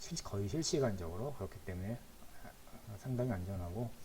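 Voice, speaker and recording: Through noticeable background noise and audible room echo, a man talks at a moderate pace with ordinary pitch variation. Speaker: instructor. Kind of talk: lecture. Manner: halting.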